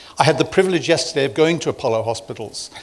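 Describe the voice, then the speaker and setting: Lively intonation marks this man's speech. He talks in a British accent. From UK. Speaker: medical executive, former neurosurgeon. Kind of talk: conference talk.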